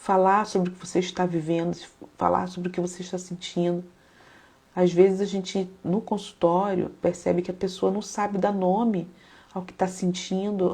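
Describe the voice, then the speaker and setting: A woman's medium-pitched voice, dark and mellow in tone and somewhat breathy, speaks with flat, monotone intonation while her loudness swings widely. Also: moderate pace. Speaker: psychologist and faith-based live host. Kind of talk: live stream talk mixing psychology and devotional teaching. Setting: live stream. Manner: calm, reflective.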